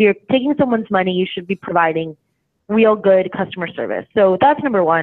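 Using a normal speaking voice, a woman talks at a fairly quick pace and medium pitch with lively intonation. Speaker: company co-founder. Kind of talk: interview, explaining a service.

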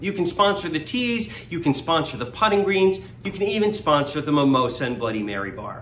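A man speaks at a fairly quick pace in a fairly high voice, his pitch swinging very widely. His tone is upbeat, with light noise in the background. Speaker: benefit auctioneer. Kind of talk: promotional video read inviting people to a fundraising event. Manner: friendly, upbeat.

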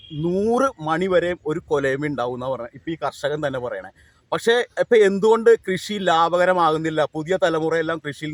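A man speaks at a fairly high pitch with ordinary pitch variation, in a normal speaking voice. The sound is dry and close, with no echo. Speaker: news channel reporter. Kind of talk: field interview.

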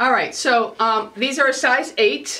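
A woman's high voice moves at a moderate pace with fairly even intonation. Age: 50s. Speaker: beauty and fashion vlogger; fashion vlogger. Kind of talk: casual talk to camera, fashion try-on. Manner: chatty, rambling with fillers. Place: home room.

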